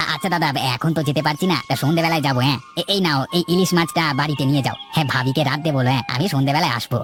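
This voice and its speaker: Cartoonish character voice at a low-to-middle pitch and a fairly quick pace, with clear background noise. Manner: hesitant starts, folksy.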